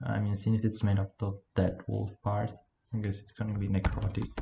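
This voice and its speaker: Spoken with a non-native accent, the delivery has a moderate pace and fairly even intonation. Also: man. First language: not English. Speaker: game level designer, video creator. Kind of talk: tutorial with live coding commentary. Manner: halting, hesitant; flat, low energy.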